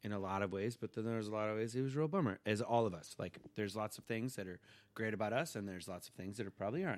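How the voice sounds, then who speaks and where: A man with an American accent and fairly low pitch talks at a very fast pace in a very clean recording with a silent background. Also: ordinary pitch variation. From California, Simi Valley. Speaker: father and podcast guest. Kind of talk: casual chat. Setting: home studio.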